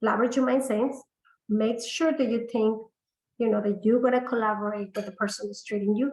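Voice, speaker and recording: Fairly quick, somewhat breathy speech from a woman, fairly high in pitch. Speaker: integrative medicine practitioner. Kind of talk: webinar sales pitch. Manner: hesitant, many fillers.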